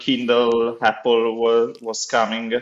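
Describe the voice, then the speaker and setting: A man with an Italian accent at a very slow pace. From Italy. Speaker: accessibility officer at a publishing foundation. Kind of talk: podcast interview. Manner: halting, many fillers.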